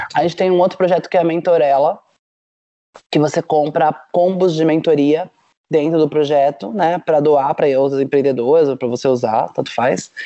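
This woman has a very deep, low pitch with ordinary variation. She speaks at a fairly quick pace. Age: 40s. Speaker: startup founder. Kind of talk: casual chat.

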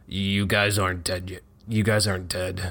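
A man's gruff put-on character voice, very deep and low in pitch, with monotone, flat intonation. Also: moderate pace.

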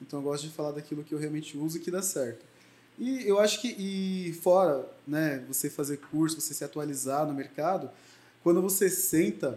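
The man's voice has a dark, mellow tone. His pitch is fairly high and varies in an ordinary way. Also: moderate pace. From Brazil, Mogi das Cruzes (São Paulo). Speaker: beauty entrepreneur and lash extension trainer. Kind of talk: interview.

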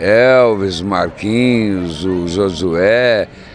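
The man's pitch varies in an ordinary way, and noticeable background noise is present. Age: 60s. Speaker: mayor. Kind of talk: interview. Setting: outdoors.

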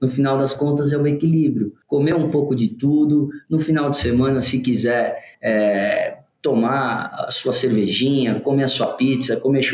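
A man talks at a moderate pace in a plain, everyday voice. His pitch is fairly high, with ordinary variation. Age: 30s. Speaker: food business co-owner. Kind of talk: podcast interview.

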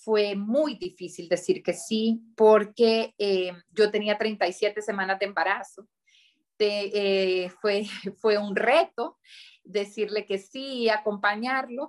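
Her delivery is very slow. This woman's pitch sits in the middle range and rises and falls in a normal way. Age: 30s. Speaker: politician. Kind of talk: interview. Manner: halting.

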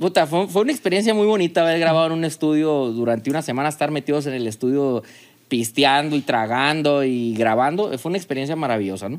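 Against a silent background in a very clean recording, a man talks very fast at a fairly high pitch with lively intonation. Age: 40s. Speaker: business owner. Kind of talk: casual chat.

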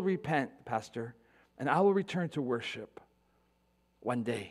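A man's voice with very wide pitch swings. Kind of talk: sermon. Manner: earnest, reflective and pastoral, pressing a solemn point about mortality.

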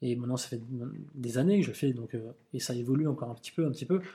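A man speaks very fast at a medium pitch, his voice somewhat breathy. His tone is dark and mellow. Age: 40s. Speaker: calligrapher and graffiti artist. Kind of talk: casual interview. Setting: studio.

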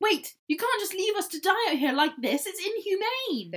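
Squeaky and extremely high, this put-on character voice moves at a moderate pace. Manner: commanding, indignant.

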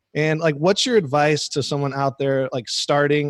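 A man with a fairly high voice for a man speaks at a moderate pace with ordinary pitch variation, in an American accent and a plain, everyday voice. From Arizona. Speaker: podcast co-host. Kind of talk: casual interview chat.

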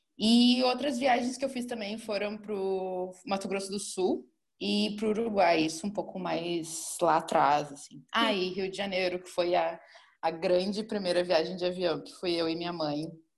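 In an ordinary speaking voice, the speaker goes at a moderate pace with ordinary pitch variation and big swings in loudness. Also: woman, medium pitch for a woman. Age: 20s. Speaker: marketing manager and travel content creator. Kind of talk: casual chat.

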